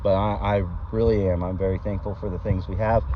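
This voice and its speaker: Fairly quick speech from a man with an American accent, noticeable background noise behind him. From Texas. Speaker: vineyard owner and grape grower. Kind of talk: casual vlog walkthrough. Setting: outdoors in a vineyard. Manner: animated, excited.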